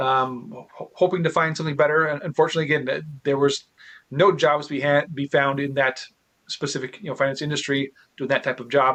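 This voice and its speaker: A man mumbles at a very fast pace. His pitch is fairly high and his intonation fairly even. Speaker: real estate investor. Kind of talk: interview. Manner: stutters and mumbles.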